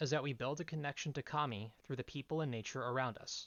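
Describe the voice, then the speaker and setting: In a normal speaking voice with an American accent, a man talks at a fairly high pitch and a fairly quick pace. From US Northeast, coastal New Jersey. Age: 20s. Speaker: lay preacher. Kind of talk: sermon. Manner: formal.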